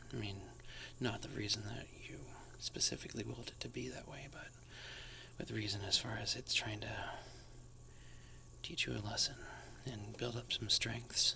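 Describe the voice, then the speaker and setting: A man whispering at a moderate pace, with long, frequent pauses, big swings in loudness and noticeable background noise. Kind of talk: ASMR tarot reading. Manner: soft-spoken, whispering.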